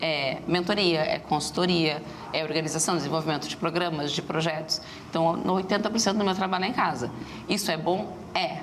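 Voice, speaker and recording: A woman with a very deep, low voice speaks at a fairly quick pace and with fairly even intonation. Audible room echo and noticeable background noise fill the recording. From Rio Grande do Sul, Brazil (Rio Grande). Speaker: entrepreneur, startup association executive. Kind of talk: TV interview. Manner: fast.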